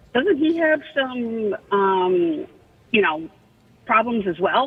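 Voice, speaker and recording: Very slowly, a woman speaks at a fairly high pitch. Her pitch swings very widely while her loudness stays very even. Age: 60s. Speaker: caller. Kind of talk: radio call-in.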